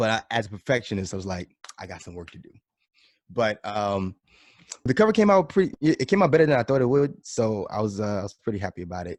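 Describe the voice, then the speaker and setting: This man, with an American accent, talks at a very fast pace in a fairly low pitch, with lively intonation and big swings in loudness. The recording is very clean, with a silent background. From New York, the Bronx. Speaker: drummer. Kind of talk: casual chat.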